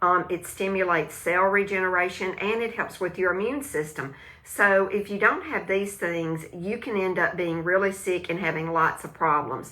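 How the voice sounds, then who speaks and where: A woman talks with a Southern US accent and hardly any pauses. Her pitch varies in an ordinary way, and there is audible room echo. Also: medium pitch for a woman, moderate pace. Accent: country Southern US accent, self-noted. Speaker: live stream host, wellness product seller. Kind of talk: casual live stream chat about gut health. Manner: hesitant, many fillers and restarts; animated, talks with hands.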